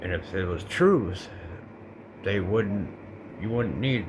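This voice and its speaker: With an American accent, a man talks at a fairly slow pace over noticeable background noise, his voice carrying audible room echo. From Colorado. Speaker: vlogger. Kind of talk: personal monologue. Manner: halting; casual.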